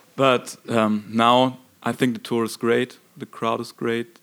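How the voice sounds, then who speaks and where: A man talks at a very slow pace in a German accent. His pitch is medium. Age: young. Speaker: rock band singer and guitarist. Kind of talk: interview. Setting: concert venue. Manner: halting.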